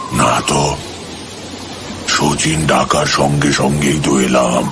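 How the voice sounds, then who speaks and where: A man performs a cartoonish character voice. He speaks very slowly over loud background noise. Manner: strained, terse, flat.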